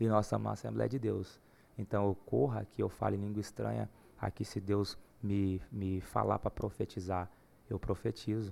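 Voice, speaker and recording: A man talks at a moderate speed in a very clean recording over a silent background. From Goiás, Brazil (Uruaçu). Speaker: gospel singer. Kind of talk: casual chat.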